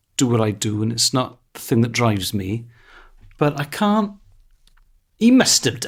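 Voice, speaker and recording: With a Welsh accent, a man talks at medium pitch. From Wales. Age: 40s. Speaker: stand-up comedian. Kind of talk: casual chat.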